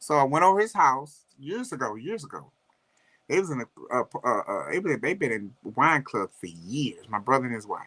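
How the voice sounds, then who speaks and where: With a St. Louis accent, the speaker has an animated, bright and sharp tone with vocal fry. Pitch swings very widely at a moderate pace. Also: man, fairly high pitch for a man. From US Midwest, St. Louis. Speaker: livestream co-host. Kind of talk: casual chat.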